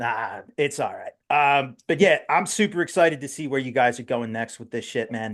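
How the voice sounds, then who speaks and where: A man's fairly high voice in a strong New Jersey accent, with lively intonation against a quiet background. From South Jersey, US. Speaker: metal podcast host. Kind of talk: casual interview chat. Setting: live internet radio show. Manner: casual, halting with fillers.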